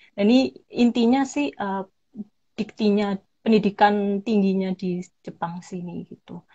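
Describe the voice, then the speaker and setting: A woman with a Javanese accent speaks fairly slowly at a medium pitch, somewhat breathy and with ordinary pitch variation. Her loudness swings widely against a quiet background. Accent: Javanese (medok). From Indonesia, Malang (East Java); East Java, Indonesia. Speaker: English lecturer and scholarship recipient; guest. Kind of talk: livestream interview. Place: home room. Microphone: video call.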